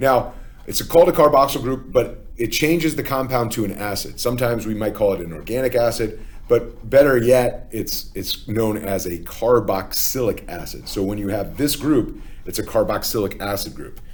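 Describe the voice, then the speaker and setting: In a room with audible echo, a man speaks at a medium pitch and a moderate pace, with ordinary pitch variation and vocal fry. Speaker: chemistry teacher. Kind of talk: lecture. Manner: casual with many fillers (okay, uh, um).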